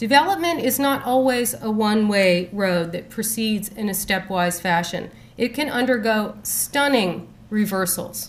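At a fairly slow pace, a woman with an American accent speaks at a fairly high pitch with ordinary pitch variation. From Boston. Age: 40s. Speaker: professor. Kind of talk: lecture. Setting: stage with audience. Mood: serious, measured. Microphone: podium.

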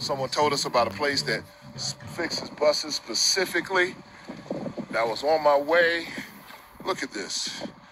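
Noticeable background noise fills the recording. Over it, a man talks fairly slowly. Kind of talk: casual vlog chat. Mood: grateful, upbeat. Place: street. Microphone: phone near.

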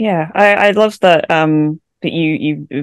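Behind the speaker, the background is quiet. She is a woman. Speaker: podcast co-host. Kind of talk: casual chat. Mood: thoughtful, reflective. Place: home room. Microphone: studio mic.

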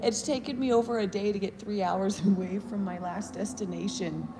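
Fairly slow speech from a woman, noticeable background noise behind her. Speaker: vlogger. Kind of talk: casual vlog chat. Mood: playful, cheerful. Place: hall. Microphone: phone near.

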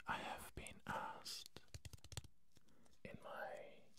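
At a very slow pace, a man is whispering. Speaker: ASMR creator. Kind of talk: ASMR whispered talk to camera. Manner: whispered. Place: studio. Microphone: studio mic.

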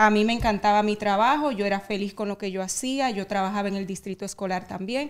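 A woman has a normal speaking voice. Her pitch sits fairly high. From Dominican Republic. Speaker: real estate agent. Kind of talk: interview.

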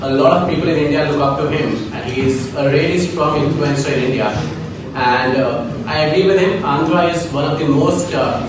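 A woman with very deep, low pitch talks at a fairly quick pace with ordinary pitch variation. Strong room echo and noticeable background noise fill the recording. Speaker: event moderator. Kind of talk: formal event introduction. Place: meeting room. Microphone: camera far.

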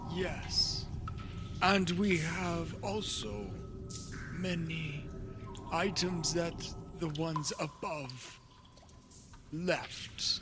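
A man speaks at a very slow pace in a put-on character voice, pitched fairly high. Long pauses come often, and background noise is clearly audible. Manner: formal, stilted, wary.

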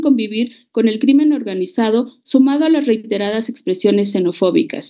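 At a moderate pace, a woman talks in a high pitch against a quiet background. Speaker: presenter. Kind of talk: formal report presentation. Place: home room. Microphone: video call.

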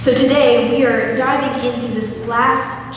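A woman speaks in a room with strong echo. Light background noise is present. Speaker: preacher. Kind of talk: sermon. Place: church.

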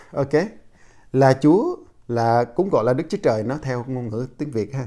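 Against a quiet background, a man with a dark, mellow tone and a fairly high pitch speaks at a fairly slow pace with long, frequent pauses. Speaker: preacher. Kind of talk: sermon. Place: home room. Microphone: lapel.

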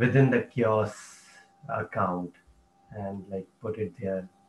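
A man speaks at a fairly slow pace with fairly even intonation over noticeable background noise. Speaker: working group member, open-source community. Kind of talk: work meeting discussion. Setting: video call.

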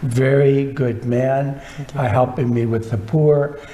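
Over noticeable background noise, the speaker talks at a very slow pace with fairly even intonation. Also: man. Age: 80s+. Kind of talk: interview. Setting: studio.

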